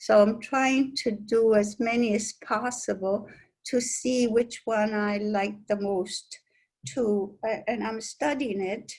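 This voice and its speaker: Somewhat breathy and fairly high-pitched, a woman speaks at a very slow pace with fairly even intonation against a quiet background. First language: Italian. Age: old. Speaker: sculptor. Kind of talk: interview. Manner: halting, with many fillers and repetitions.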